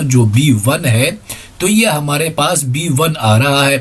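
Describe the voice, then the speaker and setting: Very slowly, a man speaks in a fairly high register, his pitch varying an ordinary amount. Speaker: ICT teacher. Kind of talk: tutorial. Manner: conversational.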